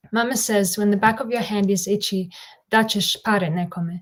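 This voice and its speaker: A woman speaks in an Australian accent. Her pace is moderate and her intonation fairly even. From Australia, Bosnian-Serbian-Croatian family. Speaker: poet. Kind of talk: poetry reading.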